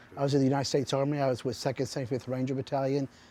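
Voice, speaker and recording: Speaking at a very fast pace, a man uses a medium pitch and a dark, mellow tone. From Texas (Houston). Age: 60s. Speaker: business owner, former soldier, motivational speaker. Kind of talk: interview answers.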